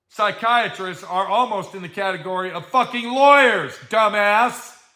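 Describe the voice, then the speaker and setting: The voice is raised and projected, with an American accent. Its tone is bright and sharp. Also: man, high pitch for a man, ordinary pitch variation, moderate pace. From Colorado. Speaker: livestream host, self-employed artist. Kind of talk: casual livestream chat reading viewer comments. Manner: loud; animated, ranting.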